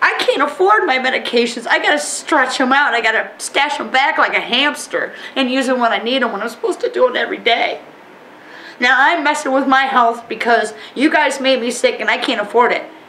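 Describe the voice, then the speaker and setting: A woman with a high pitch speaks in a raised, projected voice at a fairly quick pace. Noticeable background noise can be heard. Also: ordinary pitch variation. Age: 40s. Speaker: oil spill affected resident. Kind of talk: emotional testimony. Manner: animated.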